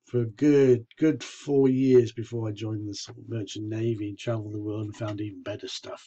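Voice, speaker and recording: This man talks at a moderate pace with a medium pitch and a dark, mellow, somewhat breathy tone. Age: 60s. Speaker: vlogger with leukemia. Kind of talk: personal video diary.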